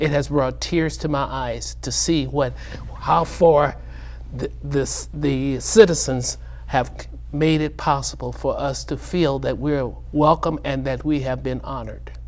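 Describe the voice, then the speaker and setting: Audible room echo around a man's fairly slow speech. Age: 70s. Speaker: Vietnam war veteran. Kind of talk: TV interview. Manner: halting.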